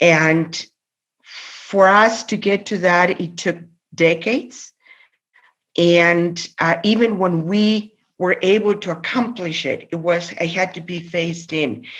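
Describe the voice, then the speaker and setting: Against a quiet background, a woman with a Spanish accent speaks very slowly in a fairly low voice with ordinary pitch variation. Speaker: labor union president. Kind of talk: interview conversation. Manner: halting, many fillers and repetitions.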